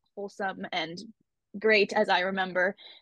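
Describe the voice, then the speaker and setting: A woman with a Canadian accent speaks in an unremarkable speaking voice at a fairly quick pace with fairly even intonation, the sound dry and close with no echo. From Canada. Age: 20s. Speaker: YouTuber. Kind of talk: casual chat.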